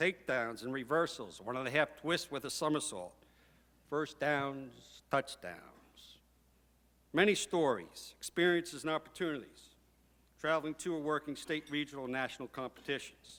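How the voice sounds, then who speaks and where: With a bright, sharp tone, a man talks at a fairly slow pace in a fairly high pitch. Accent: New York. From New York. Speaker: hall of fame inductee, former professor and PA announcer. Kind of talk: acceptance speech.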